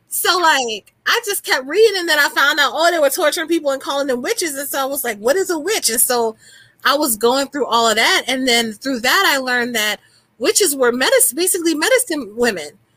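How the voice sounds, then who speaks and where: A woman's high, bright, sharp voice, raised and projected, at a fairly quick pace with very wide pitch swings. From New Orleans. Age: 30s. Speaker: writer and spiritual healer. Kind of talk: casual chat.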